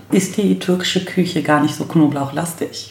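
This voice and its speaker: A woman's voice, with ordinary pitch variation, carries audible room echo over noticeable background noise. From Berlin-Neukölln, Germany. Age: 40s. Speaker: lawyer and lecturer. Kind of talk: casual chat. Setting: home kitchen.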